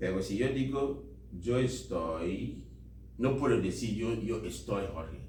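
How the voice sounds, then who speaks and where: With audible room echo, a man with a very deep, low pitch speaks at a very slow pace using very wide pitch swings. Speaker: volunteer English teacher. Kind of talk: language class. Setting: library classroom. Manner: code-switching English and Spanish.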